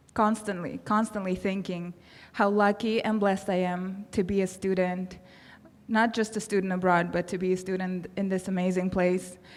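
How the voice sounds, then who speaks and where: Speaking in a Russian accent, a woman talks at a moderate pace and medium pitch, her intonation monotone and flat. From Kazakhstan. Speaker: award recipient, public health professional. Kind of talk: acceptance speech.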